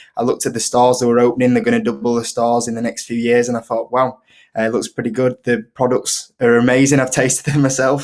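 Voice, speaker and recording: The speaker talks very fast in a strong Yorkshire accent, with flat, monotone intonation. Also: man, medium pitch for a man. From northern England, Leeds, Yorkshire. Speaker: investing YouTuber. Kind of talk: casual interview chat. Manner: hesitant, many fillers.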